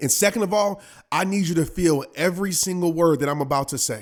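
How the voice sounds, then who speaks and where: In a very clean recording with a silent background, a man with an American accent speaks at a fairly quick pace in a high, intense tone with ordinary pitch variation. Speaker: motivational speaker, former pro football player. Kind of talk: motivational podcast monologue. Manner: intense, emphatic.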